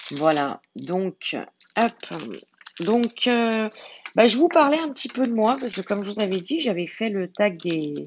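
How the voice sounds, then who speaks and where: This woman talks very slowly, her intonation lively. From France, Lyon. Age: 40s. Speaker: diamond painting YouTuber. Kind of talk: casual chat. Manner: halting, many fillers.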